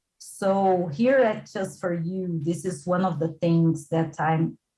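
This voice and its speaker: A woman's fairly low, somewhat breathy voice at a very slow pace. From midwest Brazil. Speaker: English school founder and teacher. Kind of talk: casual chat.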